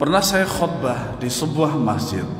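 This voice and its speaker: A man is speaking. Room echo is audible. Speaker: Islamic preacher. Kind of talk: religious study lecture. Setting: mosque. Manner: loud; stammering restarts.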